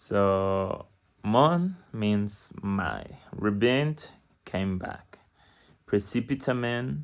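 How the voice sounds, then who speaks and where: Speech in a Spanish accent at a very slow pace. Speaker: language learner vlogger. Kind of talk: casual video diary with reading aloud. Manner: halting, hesitant.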